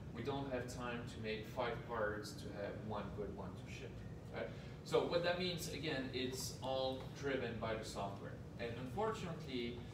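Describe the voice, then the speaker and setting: A man's voice, with ordinary pitch variation, carries audible room echo and noticeable background noise. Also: moderate pace. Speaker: presenter. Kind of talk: presentation to an audience. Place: meeting room. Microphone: camera far.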